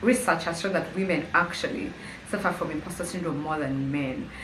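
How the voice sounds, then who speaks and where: A woman with lively intonation and a fairly quick pace, amid noticeable background noise and audible room echo. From Uganda, Kampala. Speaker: YouTuber. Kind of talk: casual vlog monologue. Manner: conversational, hesitant with fillers.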